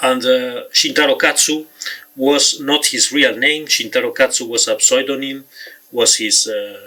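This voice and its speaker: The pace is fairly slow. The speaker has a Spanish accent. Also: man. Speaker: author and film reviewer. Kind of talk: talk to camera about film history. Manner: halting, many fillers.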